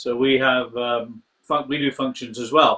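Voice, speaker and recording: A man with a Scottish accent talks at a fairly slow pace. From Scotland. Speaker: fraternal lodge master, show host. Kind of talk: interview.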